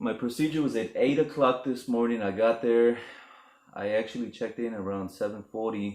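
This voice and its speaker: A man speaks in an unremarkable speaking voice at a medium pitch. His intonation is fairly even. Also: moderate pace. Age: 30s. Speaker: vlogger. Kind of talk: casual vlog monologue. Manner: casual, conversational.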